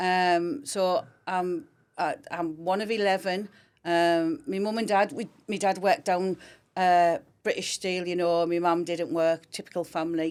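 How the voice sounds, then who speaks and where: At a fairly slow pace, a woman with a Teesside accent speaks in a medium pitch with ordinary pitch variation on a very clean recording with a silent background. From Teesside, northeast England (Grangetown). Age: 50s. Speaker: fire service schools education coordinator. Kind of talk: podcast interview.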